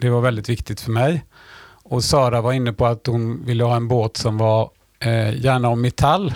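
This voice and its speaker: A plain, everyday voice from a man, medium in pitch, at a moderate pace with fairly even intonation and very even loudness. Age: 60s. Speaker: sailor and teacher. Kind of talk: casual interview.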